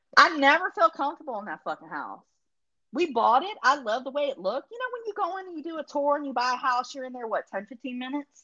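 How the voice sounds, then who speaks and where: With a dry, close sound and no echo, a woman speaks very fast in a raised, projected voice, her high, bright, sharp tone showing very wide pitch swings and big swings in loudness. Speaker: guest being quizzed. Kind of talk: casual banter, comedic quiz. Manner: jokey, chatty.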